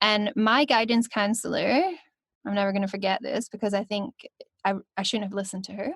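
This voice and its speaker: A woman with a Scottish accent speaks at a fairly high pitch with ordinary pitch variation and a somewhat breathy quality, leaving long, frequent pauses, recorded with a dry, close sound and no echo. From Scotland. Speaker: voice actor. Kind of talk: podcast interview answer.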